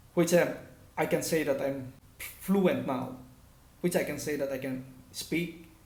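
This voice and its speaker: Audible room echo is present. The talking is fairly slow, with ordinary pitch variation. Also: man. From Philippines, northern Luzon (Cagayan Valley). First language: Ilocano. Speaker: language teacher / vlogger. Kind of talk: tutorial.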